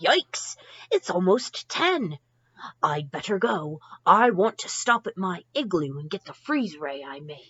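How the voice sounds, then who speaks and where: A woman in a put-on character voice speaks at a medium pitch and a fairly slow pace. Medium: read story.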